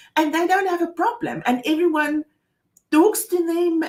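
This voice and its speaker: Speaking at a fairly slow pace, a woman with a South African accent uses an extremely high pitch. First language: Afrikaans. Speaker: co-host of a financial advice show. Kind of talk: casual chat.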